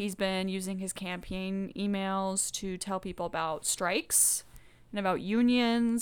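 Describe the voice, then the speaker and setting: A woman with an American accent has a normal speaking voice at a medium pitch, with fairly even intonation. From US South (Georgia). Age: 20s. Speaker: podcast co-host. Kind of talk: casual chat.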